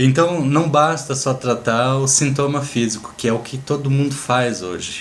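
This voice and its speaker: Medium-pitched man with a Brazilian accent, fairly slow pace, audible room echo. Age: 60s. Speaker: natural health therapist. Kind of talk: informal health talk. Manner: casual, conversational.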